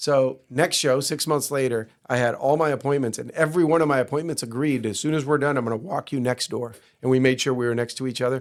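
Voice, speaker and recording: At a very fast pace, a man with a medium pitch talks in a fairly even intonation. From Cuba, raised in Miami area. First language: Spanish. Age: 50s. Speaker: entrepreneur. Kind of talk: podcast interview.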